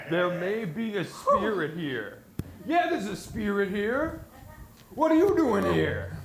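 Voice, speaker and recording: A man's put-on character voice, high in pitch, at a fairly slow pace, with slight echo. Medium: stage play. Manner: indignant, confrontational.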